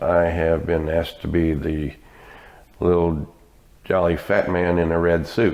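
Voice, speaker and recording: The speaker has an American accent and a fairly slow pace. Intonation stays monotone and flat. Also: man. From US, military family (Texas, Louisiana, etc.). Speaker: retirement community volunteer. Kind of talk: interview.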